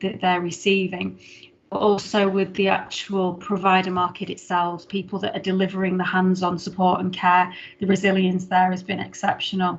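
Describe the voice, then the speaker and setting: At a fairly quick pace, a woman speaks in a somewhat breathy, medium-pitched voice with monotone, flat intonation. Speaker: head of council adult social care service. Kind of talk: formal report presentation at council meeting. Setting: online video meeting. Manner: fast.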